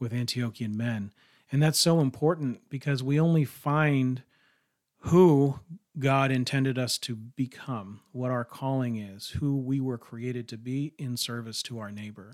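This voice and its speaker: On a very clean recording with a silent background, a man with a normal speaking voice talks at a fairly slow pace in a medium pitch, with ordinary pitch variation and big swings in loudness. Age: 40s. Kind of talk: casual religious discussion.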